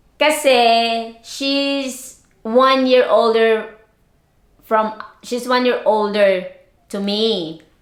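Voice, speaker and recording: With audible room echo, a woman speaks at a very slow pace and a fairly high pitch, keeping her intonation fairly even. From Philippines, Bicol region. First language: Bicol dialect / Tagalog. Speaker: lifestyle vlogger. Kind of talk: casual vlog chat. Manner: halting, repeats words.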